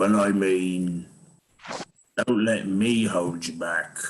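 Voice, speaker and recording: In a put-on character voice, a man drawls at a very slow pace and a fairly low pitch. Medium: actual play. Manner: blunt, plain-spoken.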